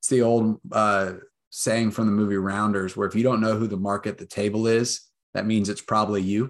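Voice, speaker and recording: Fairly quick pace, monotone, flat intonation, quiet background. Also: man. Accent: American. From Texas, Austin. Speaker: real estate investor. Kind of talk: interview.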